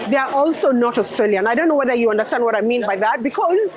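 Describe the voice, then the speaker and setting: A woman talks with a high pitch and lively intonation. Noticeable background noise can be heard. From Kenya. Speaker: interviewee, Kenyan migrant. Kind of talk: street interview.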